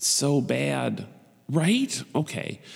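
A man is speaking. He has an American accent. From Buffalo, New York. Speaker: podcast host. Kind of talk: casual solo monologue. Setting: home recording setup. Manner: rambling; animated.

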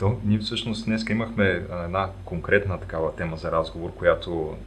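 The room echo is clearly audible here. A man talks at a fairly slow speed. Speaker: podcast host. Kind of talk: casual interview. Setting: remote recording.

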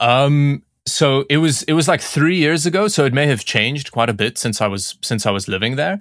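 With an unremarkable speaking voice, a man speaks at a moderate pace in a fairly high pitch with lively intonation, very even loudness and hardly any pauses, on a very clean recording with a silent background. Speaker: tech YouTuber. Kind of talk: casual chat.

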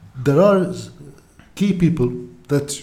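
A man with a Lebanese accent, lively intonation and a moderate pace, over noticeable background noise. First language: Arabic. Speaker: podcaster and former TV journalist. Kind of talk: casual interview conversation.

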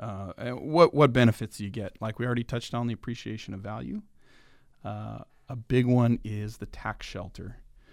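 A man with a plain, everyday voice speaks at a fairly quick pace in a medium pitch, with ordinary pitch variation and big swings in loudness. The recording is very clean, with a silent background. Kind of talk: casual radio interview, friendly chat.

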